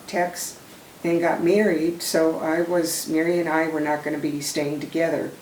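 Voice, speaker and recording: A woman's flat, monotone voice with an American accent at a fairly slow pace, with noticeable background noise and audible room echo. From Minnesota. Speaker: retired Army nurse, war veteran. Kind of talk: oral history testimony. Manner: halting, with many fillers.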